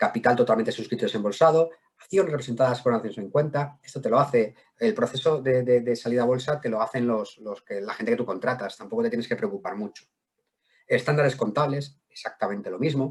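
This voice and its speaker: The speech comes very fast, somewhat breathy, with ordinary pitch variation. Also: man, medium pitch for a man. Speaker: wealth management director. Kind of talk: webinar presentation. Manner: halting, repeats words.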